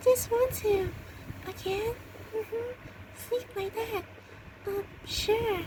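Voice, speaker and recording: A put-on character voice moves at a fairly slow pace with long, frequent pauses. Clear background noise runs underneath. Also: female-sounding voice, extremely high pitch for a woman. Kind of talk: amateur fan roleplay. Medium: audio drama. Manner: halting, hesitant, full of ums and uhs.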